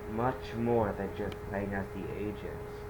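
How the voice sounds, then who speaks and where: A man talks with audible room echo while noticeable background noise carries on around him. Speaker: video game reviewer. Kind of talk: game review monologue. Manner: stuttering; halting. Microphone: poor mic quality.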